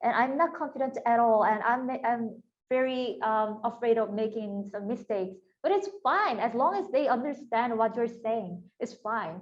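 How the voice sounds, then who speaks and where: In a Korean accent, a woman with a fairly high voice talks at a moderate pace with lively intonation. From South Korea. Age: 30s. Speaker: YouTube creator and workshop instructor. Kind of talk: online workshop talk. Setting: video call. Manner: casual, animated.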